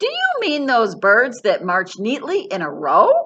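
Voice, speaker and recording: Putting on a character voice, a woman speaks loudly at a high pitch and a fairly slow pace. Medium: read story. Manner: loud, hearty.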